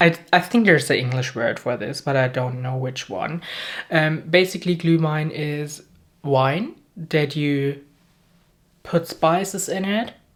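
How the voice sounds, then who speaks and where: Speaking fairly slowly with a German accent, a woman uses a very deep, low pitch and lively intonation. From Germany. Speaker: beauty youtuber. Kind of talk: casual chat. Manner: animated; halting.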